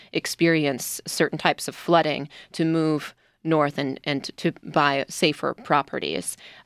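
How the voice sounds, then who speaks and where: Very deep and low in pitch, a woman speaks with a Midwestern US accent at a fairly slow pace. Her intonation is fairly even, and the sound is dry and close with no echo. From US Midwest. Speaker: radio news reporter. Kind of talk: radio panel discussion. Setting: studio.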